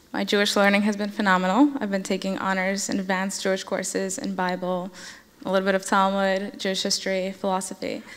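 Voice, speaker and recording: A woman at a medium pitch speaks at a very fast pace with fairly even intonation and audible room echo. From New Jersey, Russian-speaking home. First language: Russian. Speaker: college student. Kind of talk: onstage interview.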